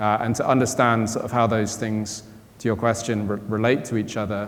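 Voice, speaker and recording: A man with a British accent speaks at a fairly quick pace in a fairly low pitch, his intonation monotone and flat. Noticeable background noise and audible room echo fill the recording. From Britain. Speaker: quantum computing company co-founder and chief scientist. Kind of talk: panel discussion answer.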